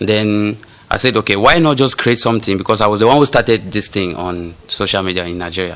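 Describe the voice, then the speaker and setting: With a Cameroonian accent, a man talks at a very fast pace, his fairly low pitch showing ordinary variation. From Cameroon, Yaoundé. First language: local Cameroonian language. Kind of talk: casual chat.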